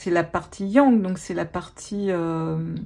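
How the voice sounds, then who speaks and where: A woman speaks very slowly at a medium pitch, her tone dark, mellow and somewhat breathy. The recording is very clean, with a silent background. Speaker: tarot reader and life coach. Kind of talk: tarot reading. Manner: animated.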